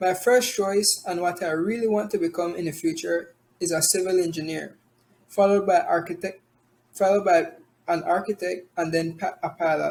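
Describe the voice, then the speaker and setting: A man is talking at a high pitch. His pace is moderate. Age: 20s. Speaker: college student. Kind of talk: class presentation.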